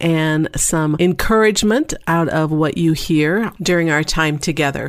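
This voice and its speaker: An unremarkable speaking voice from a woman, fairly low in pitch, with ordinary pitch variation. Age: middle-aged. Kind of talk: podcast talk. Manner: upbeat, humorous.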